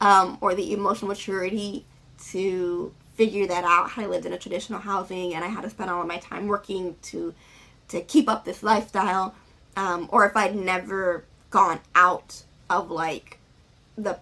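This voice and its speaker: Her loudness swinging widely, a woman speaks at a medium pitch with fairly even intonation. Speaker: vlogger. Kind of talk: casual vlog talk. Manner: fast.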